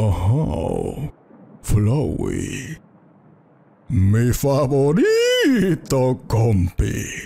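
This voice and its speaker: Put-on character voice from a medium-pitched man, very slow, with long, frequent pauses. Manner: creepy storyteller-style narration voice.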